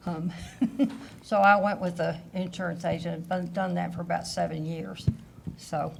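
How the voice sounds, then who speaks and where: With a Southern US accent, a woman speaks at a moderate pace in a fairly low, flat monotone, pausing long and often amid audible room echo. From Kentucky, US South. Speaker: insurance agent, retired finance executive. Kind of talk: panel discussion.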